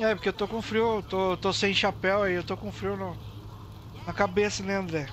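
A man speaks at a moderate pace, the sound dry with no echo and light noise in the background. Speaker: live streamer and roleplay gamer; live streamer, roleplay gamer. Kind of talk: casual live-stream gameplay chat. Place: home room.

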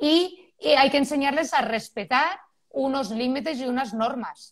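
Her pitch high, a woman speaks at a fairly slow pace with lively intonation. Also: quiet background. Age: 40s. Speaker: parenting expert; guest. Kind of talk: expert interview. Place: home room. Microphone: video call.

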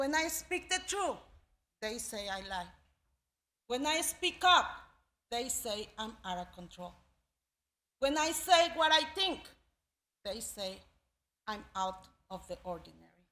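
A woman talks in a raised, projected voice with a bright, sharp tone and high pitch, her pitch swinging very widely and her loudness varying a lot, at a fairly slow pace with long, frequent pauses. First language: not English. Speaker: immigrant storyteller. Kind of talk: live storytelling performance, spoken word. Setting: live audience. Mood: earnest, emotional. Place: stage. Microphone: podium.

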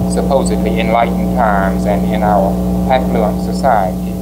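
Loud background noise sits behind a man's voice. He talks at a moderate pace with ordinary pitch variation. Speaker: guest lecturer on children's books. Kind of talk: lecture. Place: hall.

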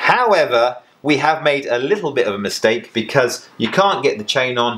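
The man talks at a moderate pace, and his pitch varies by an ordinary amount. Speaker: presenter. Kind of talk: tutorial. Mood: relaxed, joking. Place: workshop.

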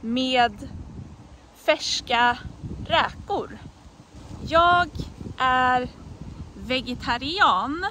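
With light background noise and a dry sound with no echo, a woman talks very slowly at a high pitch with ordinary pitch variation. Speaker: Swedish language teacher. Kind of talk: language lesson example phrases. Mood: friendly, smiling. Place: forest. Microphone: phone near.

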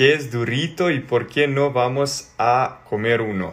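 A man with a Serbian accent, medium pitch, fairly even intonation and a very slow pace. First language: Serbian (speaking Spanish). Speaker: social media personality; social media creator. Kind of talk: reading and answering social media comments. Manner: halting. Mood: cheerful, amused. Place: home room. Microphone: phone near.

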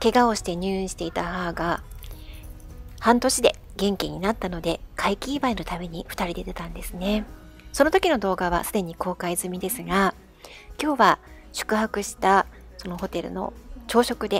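Music plays in the background as a woman with a medium-pitched voice talks at a moderate pace with ordinary pitch variation. She leaves long, frequent pauses, and her loudness swings widely. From Tokyo. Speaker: writer and YouTube channel host. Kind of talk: intro narration to camera.

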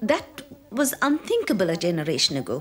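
A woman at a fairly low pitch with very wide pitch swings, a slightly husky edge and a fairly quick pace.

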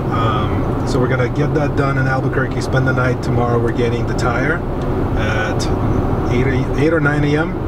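A man talks at a moderate pace with loud background noise all around. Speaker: road trip vlogger. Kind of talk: casual vlog chat. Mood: mildly worried but calm. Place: car. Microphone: camera far.

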